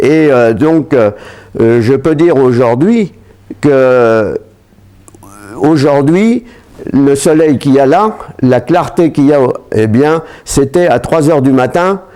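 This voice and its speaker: A man with a fairly high pitch talks at a very slow pace with long, frequent pauses and lively intonation. His loudness stays very even over noticeable background noise. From France, Seine-et-Marne (east of Paris). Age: 80s+. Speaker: war veterans association president. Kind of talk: testimony. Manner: hesitant, frequent fillers.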